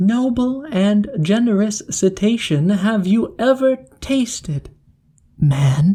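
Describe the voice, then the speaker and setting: A woman speaks at a medium pitch in a put-on character voice. Her pace is very slow. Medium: read story. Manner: sly, flattering.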